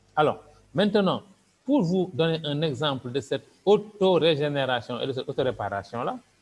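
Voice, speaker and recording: Music plays in the background as a man talks at a moderate pace. His pitch is fairly high and his intonation lively. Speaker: doctor and business presenter. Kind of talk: sales pitch.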